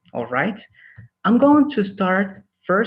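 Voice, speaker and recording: Very wide swings in pitch at a fairly slow pace. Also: man. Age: 30s. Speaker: English teacher. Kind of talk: online class introduction.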